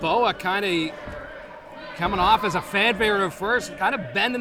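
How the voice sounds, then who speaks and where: Over noticeable background noise, a man speaks in a raised, projected voice at a high pitch. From New Brunswick, Canada. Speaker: wrestling commentator, manager. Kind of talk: live pro wrestling color commentary.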